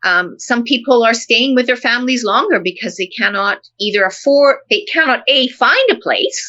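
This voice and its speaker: A woman's high-pitched voice with a Canadian accent, lively intonation and hardly any pauses. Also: moderate pace. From Canada. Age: 60s. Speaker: professor. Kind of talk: casual chat.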